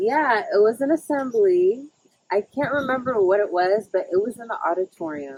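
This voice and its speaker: A woman with an American accent, fairly high-pitched with very wide pitch swings, at a moderate pace, in a dry, close sound with no echo. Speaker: friend of the host. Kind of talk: casual chat.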